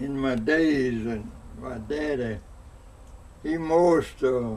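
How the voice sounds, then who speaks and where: Audible room echo surrounds a man talking at a very slow pace. His pitch sits at a medium level with ordinary variation. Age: 90s. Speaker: elderly interviewee. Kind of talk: oral history interview. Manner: halting.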